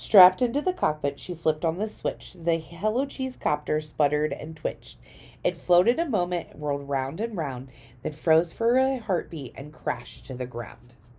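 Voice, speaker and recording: A woman's raspy put-on character voice, fairly low in pitch, at a moderate pace. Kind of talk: children's picture-book read-aloud in rhyme. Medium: read story. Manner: rhythmic, gentle.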